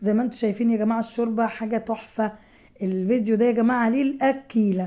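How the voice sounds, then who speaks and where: A woman speaks in a dark, mellow tone with monotone, flat intonation. Her loudness stays very even. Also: fairly high pitch for a woman, fairly quick pace. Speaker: home cook vlogger. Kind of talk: cooking tutorial. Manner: casual chatty.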